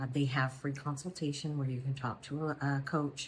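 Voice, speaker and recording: A woman's very deep, low voice, somewhat breathy. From Louisiana. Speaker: weight loss vlogger. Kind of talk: casual vlog talk. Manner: quiet, hushed; hesitant with fillers.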